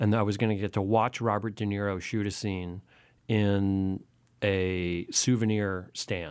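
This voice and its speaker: The pace is fairly slow, with fairly even intonation. The recording is very clean, with a silent background. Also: man, fairly low pitch for a man. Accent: Californian. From Southern California, Santa Monica. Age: 40s. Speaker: magazine editor. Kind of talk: casual chat. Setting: radio studio.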